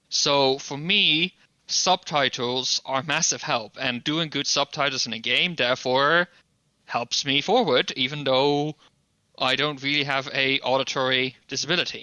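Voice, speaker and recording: A man with a non-native accent talks fairly slowly at a fairly high pitch, with fairly even intonation. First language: not English. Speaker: podcast co-host. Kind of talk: casual chat.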